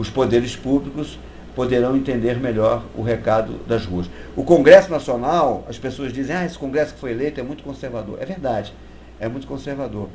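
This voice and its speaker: In a room with audible echo and noticeable background noise, a man speaks at a moderate pace and medium pitch with ordinary pitch variation. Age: 60s. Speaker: activist. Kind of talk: interview. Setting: live web broadcast.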